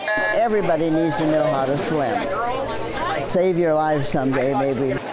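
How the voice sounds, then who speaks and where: Loud background noise under a woman's fairly slow speech. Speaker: retired swim coach. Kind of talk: interview answer. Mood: warm, grateful. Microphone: lapel.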